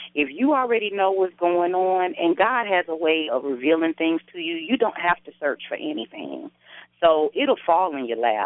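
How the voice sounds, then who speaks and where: A woman's fairly low voice with an American accent and very wide pitch swings. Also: moderate pace. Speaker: radio host. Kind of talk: casual chat. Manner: animated.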